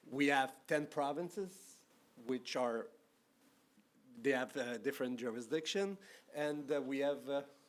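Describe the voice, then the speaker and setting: A man speaks at a fairly slow pace with a French-Canadian accent, his pitch fairly high. He leaves long, frequent pauses and uses ordinary pitch variation. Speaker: anti-corruption official, panelist. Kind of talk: conference panel talk. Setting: conference stage with audience. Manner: hesitant, many fillers.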